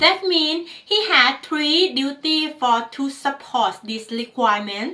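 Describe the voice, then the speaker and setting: A woman's raised, projected voice with a non-native accent, high-pitched with a bright, sharp tone, very slow, with very wide pitch swings. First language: not English. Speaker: ISO management trainer. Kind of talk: tutorial lecture.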